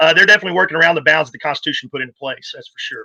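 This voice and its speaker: A man's voice with a Texan accent. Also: dry, close sound with no echo. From Texas. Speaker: political party volunteer and activist. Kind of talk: casual interview.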